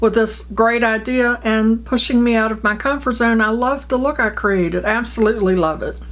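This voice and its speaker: A woman with a fairly high pitch speaks at a moderate pace and with fairly even intonation. Noticeable background noise runs underneath. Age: 60s. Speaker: beauty vlogger. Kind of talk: makeup tutorial. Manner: casual, chatty.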